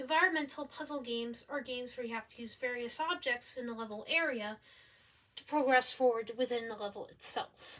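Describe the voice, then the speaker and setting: With a high pitch and a bright, sharp tone, a woman talks at a fairly quick pace, showing ordinary pitch variation and big swings in loudness. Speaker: student presenting a game concept. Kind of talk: presentation.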